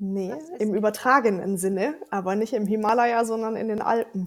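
Woman at a fairly high pitch and moderate pace, with ordinary pitch variation. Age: 30s. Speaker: event organizer. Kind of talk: casual chat. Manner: animated.

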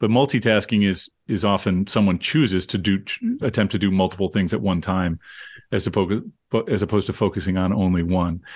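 Very fast speech from a man with a fairly low pitch, against a quiet background. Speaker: professor. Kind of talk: casual chat.

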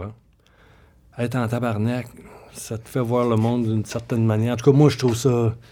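With a Quebec accent, a man speaks at medium pitch. Noticeable background noise runs behind him. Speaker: comedy writer and novelist. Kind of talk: casual interview.

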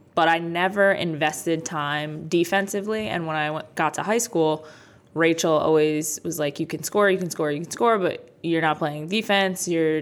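With an ordinary speaking voice, a woman speaks at a fairly low pitch and fairly even intonation. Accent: American. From New Jersey (Jackson/Freehold area). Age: 20s. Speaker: basketball coach. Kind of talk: interview conversation.

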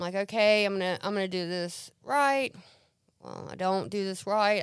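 A woman with an American accent and a plain, everyday voice talks at a fairly quick pace in a medium pitch with ordinary pitch variation, on a very clean recording with a silent background. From US South, central Mississippi. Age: 30s. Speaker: recovering addict. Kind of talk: testimony. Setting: studio.

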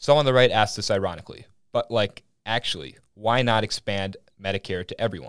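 Moving at a fairly quick pace, a man uses a plain, everyday voice with fairly low pitch and ordinary pitch variation. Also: very clean recording, silent background. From Minnesota, small town. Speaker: podcast host, college student. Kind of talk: casual political discussion; opinion monologue.

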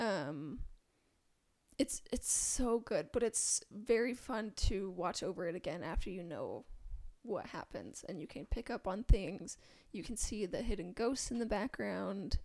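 A woman with a normal speaking voice, a medium pitch and lively intonation, at a fairly slow pace, with big swings in loudness. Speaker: podcast host. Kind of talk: casual banter, TV show discussion.

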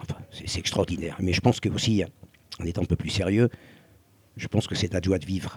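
A man with a very deep, low pitch talks at a fairly quick pace but with long, frequent pauses and fairly even intonation. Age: 70s. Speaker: former croupier and restaurateur. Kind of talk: casual conversation. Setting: outdoors on a beach.

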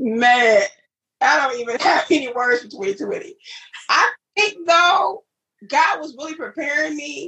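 In an American accent, a woman speaks in a raised, projected voice with a high pitch and a bright, sharp tone. Her pace is fairly slow, with long, frequent pauses, very wide pitch swings and big swings in loudness. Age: 40s. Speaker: education counselor and author. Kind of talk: personal testimony in interview.

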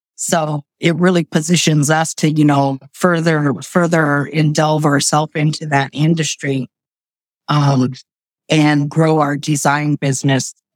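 A woman with a very deep, low pitch speaks at a fairly slow pace and very even loudness, with a dry, close sound and no echo. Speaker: business owner. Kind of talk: interview. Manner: animated.

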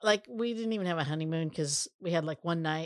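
In a very clean recording with a silent background and a dry, close sound with no echo, a woman with a fairly low pitch and ordinary pitch variation speaks in an ordinary speaking voice. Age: 50s. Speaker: co-founder of family business. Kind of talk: interview.

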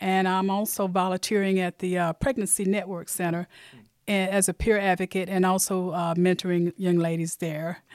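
A woman with an Alabama accent speaks at a moderate pace in a medium pitch, her intonation monotone and flat, on a very clean recording with a silent background and a dry, close sound with no echo. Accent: Southern US (Alabama). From US South, Mobile, Alabama. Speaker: church member. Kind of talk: testimony.

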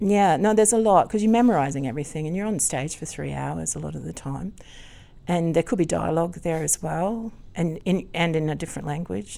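Dark and mellow in tone, a woman's fairly low voice moves at a fairly quick pace with an Australian accent, on a very clean recording with a silent background. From Queensland, Australia (Gympie area). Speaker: opera singer and singing teacher. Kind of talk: interview. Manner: laughs often.

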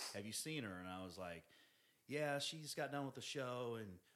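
In an American accent, a man speaks at medium pitch with a bright, sharp tone and lively intonation. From Independence, Missouri, US Midwest. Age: 40s. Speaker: personal trainer. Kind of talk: casual chat. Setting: in person, drinks. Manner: standard, non-slang speech.

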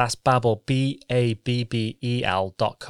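A man with a British accent and a medium pitch, very slow in pace and monotone, flat in intonation, in a dry, close sound with no echo on a very clean recording with a silent background. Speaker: podcast co-host. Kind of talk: casual chat.

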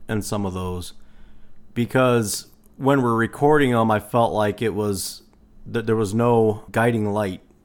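In a very clean recording with a silent background, a man with a plain, everyday voice speaks at a moderate pace, medium in pitch with ordinary pitch variation. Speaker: podcast co-host. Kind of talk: casual chat.

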